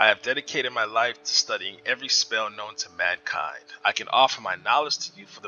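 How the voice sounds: Natural read-aloud delivery, pitch varying in an ordinary way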